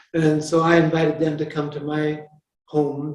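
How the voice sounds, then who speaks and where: A man with a North American accent, a fairly high pitch and a dark, mellow tone, amid audible room echo. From US Pacific Northwest, rural Washington State. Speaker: Franciscan friar and author. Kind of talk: interview conversation. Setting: chapel with audience.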